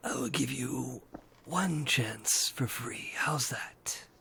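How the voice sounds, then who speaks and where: A man's raspy, whispered, put-on character voice at a very slow pace. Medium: actual play. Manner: sly, tempting.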